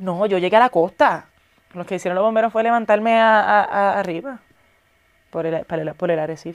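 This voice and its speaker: Against a quiet background, a woman speaks in an animated tone at a moderate pace, with ordinary pitch variation and long, frequent pauses. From Puerto Rico. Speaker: actress and influencer; actress, influencer. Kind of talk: casual interview chat. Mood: relaxed, reflective. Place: studio. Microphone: lapel.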